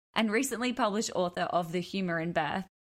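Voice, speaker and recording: Here a woman speaks with an Australian accent. Her pitch shows ordinary variation. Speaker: podcast host. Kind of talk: casual interview.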